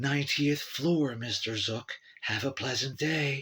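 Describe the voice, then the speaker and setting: A man speaks at a fairly slow pace in a put-on character voice. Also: medium pitch for a man. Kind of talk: artificial assistant voice. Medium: read story. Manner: syrupy, sweet, servile.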